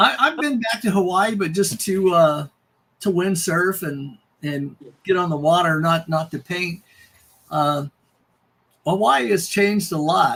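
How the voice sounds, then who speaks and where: A man with a high pitch and lively intonation talks at a fairly slow pace, leaving long, frequent pauses. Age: 70s. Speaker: airbrush artist. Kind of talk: casual chat.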